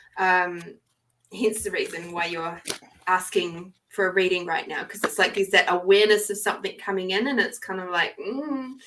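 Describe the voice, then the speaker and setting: A woman with a New Zealand accent, medium pitch, ordinary pitch variation, a bright, sharp tone and a moderate pace. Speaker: tarot card reader. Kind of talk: live stream reading; casual chat.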